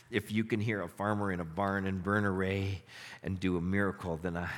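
A man's voice, pitched very deep and low, moves along at a moderate speed. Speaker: pastor. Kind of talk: sermon with prayers, a fervent closing prayer. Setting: church with congregation. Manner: earnest, heartfelt, pleading and reverent in prayer; warm, conversational, upbeat.

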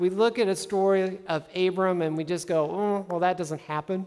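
A woman talks at medium pitch. Her pace is fairly quick. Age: 40s. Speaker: pastor. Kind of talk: sermon. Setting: church with live congregation. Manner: animated.

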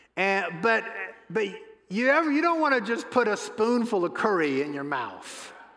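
A high-pitched man's voice with very wide pitch swings, at a moderate pace, in a room with audible echo. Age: 60s. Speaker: pastor. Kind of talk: sermon.

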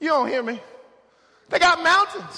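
The voice is raised and projected, with an American accent. Its tone is animated and its intonation lively. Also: man. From Oklahoma. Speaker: guest pastor. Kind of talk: sermon. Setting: church. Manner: animated, emphatic preaching.

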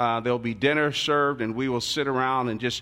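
Against a quiet background, a man with an American accent and a plain, everyday voice speaks at medium pitch with ordinary pitch variation. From Newark, New Jersey, US Northeast. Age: 60s. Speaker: pastor. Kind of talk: sermon. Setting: church.

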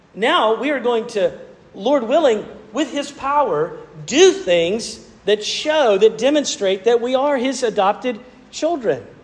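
A man's extremely high-pitched voice, lively in intonation and fairly slow, over noticeable background noise. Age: 40s. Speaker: pastor. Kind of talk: sermon. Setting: church. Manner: halting, with frequent repeated words and fillers.

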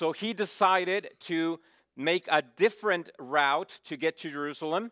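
In a very clean recording with a silent background, the voice comes at a fairly slow pace in a bright, sharp tone, with ordinary pitch variation and a dry, close sound with no echo. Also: man, high pitch for a man. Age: 40s. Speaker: pastor. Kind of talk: sermon.

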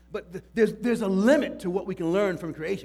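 A man speaks loudly at a fairly quick pace. His pitch is high. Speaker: pastor. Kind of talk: sermon. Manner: halting.

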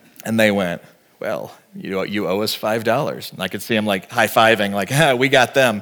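A man speaks with an American accent in a normal speaking voice. His pitch is medium, with ordinary pitch variation, and his pace is moderate. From Texas. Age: 40s. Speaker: pastor. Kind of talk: sermon.

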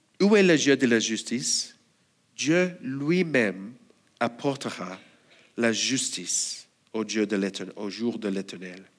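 The speaker goes at a very slow pace, leaving long, frequent pauses and swinging the pitch very widely. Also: man, medium pitch for a man. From Australia. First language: English (speaking French). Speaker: church elder and preacher. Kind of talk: sermon.

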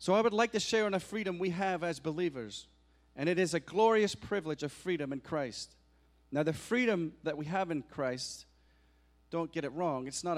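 A man with a Scottish accent, lively intonation and a moderate pace, on a very clean recording with a silent background. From Scotland. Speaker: guest preacher. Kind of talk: sermon. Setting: church.

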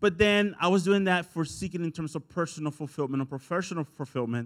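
Spoken with a Spanish accent and ordinary pitch variation, this recording is very clean with a silent background. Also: man. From El Salvador. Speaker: pastor. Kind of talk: sermon. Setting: church.

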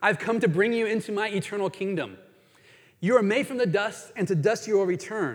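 This very clean recording with a silent background features a man speaking at a high pitch. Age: 50s. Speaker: pastor. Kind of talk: sermon.

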